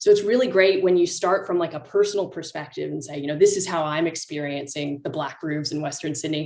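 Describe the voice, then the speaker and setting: Speaking very fast with hardly any pauses, a woman uses a fairly low pitch and ordinary pitch variation. She has a North American accent, and her loudness rises and falls sharply. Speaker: climate campaigner, panelist. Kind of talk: panel feedback. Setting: video call.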